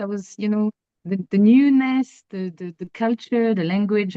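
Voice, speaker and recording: A woman is speaking. She has a French accent. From France. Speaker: astrologer. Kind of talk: interview. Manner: hesitant, many fillers and repeats.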